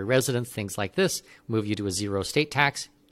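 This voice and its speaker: A man with a plain, everyday voice talks at a fairly quick pace with ordinary pitch variation on a very clean recording with a silent background. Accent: Canadian. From Canada. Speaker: expat consultant. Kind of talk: interview.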